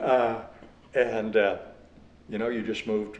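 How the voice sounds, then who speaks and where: With a Western US accent, a man speaks fairly slowly in a flat, monotone way. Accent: Western American. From Virginia City, Nevada. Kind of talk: oral history interview answer. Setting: indoor interview. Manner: humorous, conversational.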